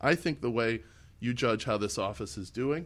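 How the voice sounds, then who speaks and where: A man with an American accent speaks at a moderate pace, his medium-pitched voice showing vocal fry. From Illinois. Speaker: political candidate. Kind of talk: interview. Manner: halting, with frequent self-corrections.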